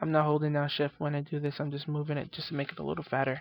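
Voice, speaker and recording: Words come out at a very fast pace. The background is silent, on a very clean recording. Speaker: software tutorial host. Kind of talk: tutorial. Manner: casual, filler-heavy.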